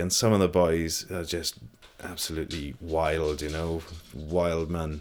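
A man's very deep, low voice in a South Welsh accent, monotone and flat, at a moderate pace. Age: 40s. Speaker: photographer. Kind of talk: casual interview.

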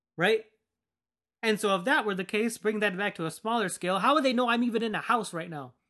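A man speaks in a raised, projected voice at a high pitch, with a bright, sharp tone. His intonation is lively, his pace fairly quick, and the background quiet. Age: 20s. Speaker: podcast host. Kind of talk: casual monologue. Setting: home basement.

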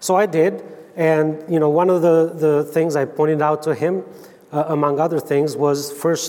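A man with an Albanian accent at fairly high pitch and moderate pace, over noticeable background noise. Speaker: Bible translator. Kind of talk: church talk. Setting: church conference with audience. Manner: halting.

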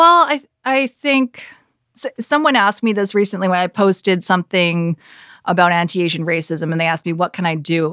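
In a Canadian accent, a woman speaks at a fairly quick pace in a normal speaking voice with lively intonation, on a very clean recording with a silent background and a dry, close sound with no echo. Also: medium pitch for a woman. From Canada, Vancouver area. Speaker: news anchor. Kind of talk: casual chat.

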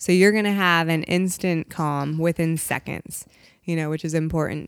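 An unremarkable speaking voice, a woman's, pitched fairly low with ordinary pitch variation, moves at a moderate pace on a very clean recording with a silent background. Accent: American. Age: 30s. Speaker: CBD shop owner. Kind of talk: casual interview chat.

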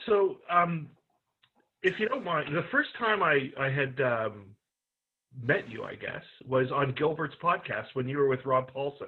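At a fairly slow pace and with long, frequent pauses, a man speaks with fairly high pitch and lively intonation. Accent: slight Canadian. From Canada. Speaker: podcast interviewer. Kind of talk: interview.

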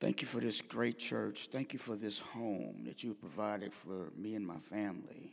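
A man with an American accent speaks in a fairly low, animated voice with vocal fry and lively intonation. His moderate pace leaves hardly any pauses. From St. Louis, US Midwest. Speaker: preacher. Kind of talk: sermon. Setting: church. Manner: animated, conversational.

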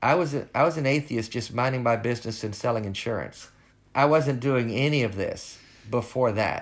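A man with a Southern US accent talks at a moderate pace and medium pitch, with ordinary pitch variation, on a very clean recording with a silent background. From US South, rural Northwest Arkansas. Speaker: former pastor with ALS, atheist advocate. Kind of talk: interview. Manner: halting.

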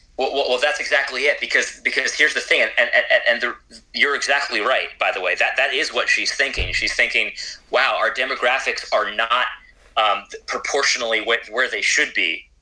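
Music playing in the background under a man's moderate-paced speech. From Puerto Rican heritage. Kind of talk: interview conversation. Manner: repetitive halting starts.

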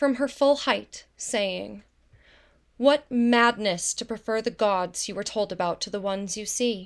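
The recording is very clean, with a silent background. A plain, everyday voice talks fairly slowly, its pitch varying in an ordinary way. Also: woman. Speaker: voice actor reading translated myth. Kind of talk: dramatic narration of ancient text.

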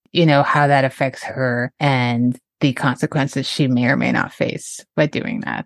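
Speaking at a moderate pace with hardly any pauses, a woman uses a very deep, low pitch and fairly even intonation, in a dry, close sound with no echo. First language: French. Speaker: film podcast host. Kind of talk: casual chat.

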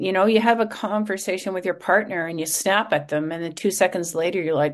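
A woman's medium-pitched, an ordinary speaking voice, with ordinary pitch variation and a quiet background. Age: 50s. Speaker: podcast host, journalist and author. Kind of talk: casual interview chat.

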